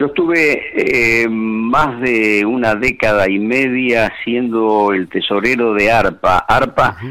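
Speaking at a very slow pace with hardly any pauses, a man uses a medium pitch and ordinary pitch variation. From Argentina, Santa Fe province (Villa Constitución). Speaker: veteran radio announcer and station founder. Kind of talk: interview.

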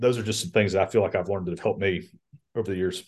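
A man with a Georgia accent speaks at a fairly low pitch against a quiet background. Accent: Southern American (Georgia). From US South, Columbus, Georgia. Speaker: lobbyist for a trade association. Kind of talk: interview, casual chat. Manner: many fillers and hesitations.

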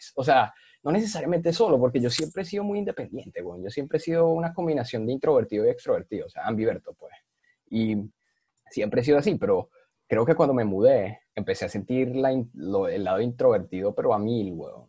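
A fairly high-pitched, somewhat breathy man's voice with a Venezuelan accent and a dark, mellow tone, very wide pitch swings, big swings in loudness and a fairly quick pace. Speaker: podcast guest. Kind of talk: casual chat.

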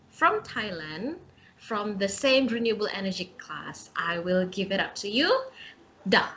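A woman with an Indonesian accent speaks at a medium pitch and a fairly slow pace. Noticeable background noise can be heard. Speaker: podcast host, student. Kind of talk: casual interview chat.

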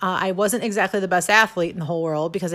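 Animated in tone, a woman speaks with a Midwestern American accent over noticeable background noise. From US Midwest, Missouri (near St. Louis). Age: 40s. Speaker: podcast host. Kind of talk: casual monologue.

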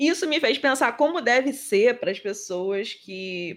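A woman with a plain, everyday voice talks at a fairly slow pace with lively intonation. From Rio de Janeiro, Brazil. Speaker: podcast co-host. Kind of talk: casual chat.

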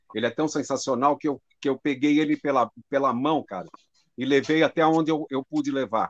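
Speaking in an unremarkable voice at a fairly quick pace, a man with a fairly high pitch keeps his intonation fairly even, the sound dry and close with no echo. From Brazil, São Paulo. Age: 60s. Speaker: drum teacher. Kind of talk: conversation on a live stream.

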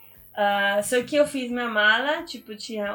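A woman speaks with a Spanish accent. Her tone is bright and sharp, with ordinary pitch variation. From Argentina, small town in Misiones. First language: Spanish (speaking Portuguese). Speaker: biologist and activist. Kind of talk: interview. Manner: hesitant, many fillers.

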